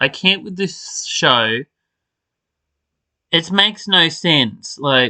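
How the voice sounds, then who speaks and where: Speaking at a very slow pace with long, frequent pauses, a high-pitched man uses lively intonation and a bright, sharp tone, recorded dry and close with no echo. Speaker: soap opera podcaster. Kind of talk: casual rant. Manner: animated.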